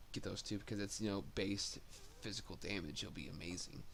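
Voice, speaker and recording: The man's voice sits fairly low. Echo from the room can be heard. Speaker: gaming video creator. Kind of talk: game build tutorial. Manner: halting, many fillers.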